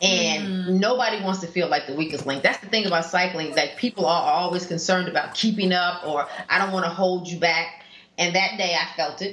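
Against noticeable background noise, a woman talks at a moderate pace with fairly even intonation. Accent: American. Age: 50s. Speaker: cyclist. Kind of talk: casual chat. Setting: studio.

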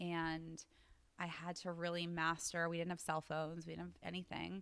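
A woman speaks with a bright, sharp tone at a fairly low pitch. The recording is very clean, with a silent background. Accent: American. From US East Coast. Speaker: wellness entrepreneur and yoga teacher. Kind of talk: interview conversation.

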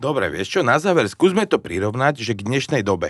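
In an ordinary speaking voice, a man talks fairly quickly with lively intonation, the sound dry and close with no echo. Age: 40s. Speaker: podcast host. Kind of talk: interview.

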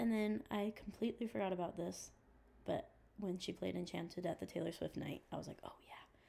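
At a fairly quick pace, a woman speaks in a medium pitch with a dark, mellow tone, vocal fry, and ordinary pitch variation. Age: 20s. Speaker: pop music fan guest. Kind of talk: casual chat.

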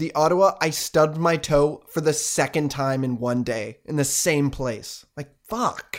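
A man talks at a fairly slow pace in an unremarkable speaking voice. His pitch is fairly high, with ordinary pitch variation. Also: hardly any pauses. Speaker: podcast host. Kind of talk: comedy ad parody. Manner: mock car-dealer pitch, cheery and goofy.

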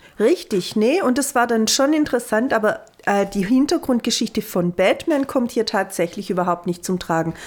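A woman's fairly high voice, lively in intonation and very even in loudness. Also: moderate pace. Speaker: film podcast co-host. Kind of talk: casual chat.

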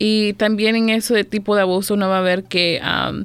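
This woman talks with monotone, flat intonation. Her voice sits at a medium pitch. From El Salvador, then Maryland from age 7-8. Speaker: domestic violence outreach supervisor. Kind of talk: radio interview.

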